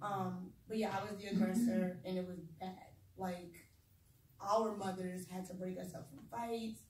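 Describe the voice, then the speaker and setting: With a medium pitch, a woman's voice comes through somewhat breathy. Audible room echo surrounds it. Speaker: speaker sharing personal trauma story. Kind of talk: testimony. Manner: fast; animated.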